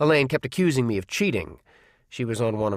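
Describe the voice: Someone reads a text aloud. The reading is plain.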